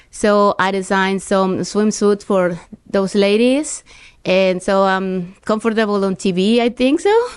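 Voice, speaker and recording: A woman's medium-pitched voice at a fairly slow pace, with fairly even intonation and very even loudness. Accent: Spanish. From Mexico, Tampico. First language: Spanish. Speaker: real estate agent. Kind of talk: interview.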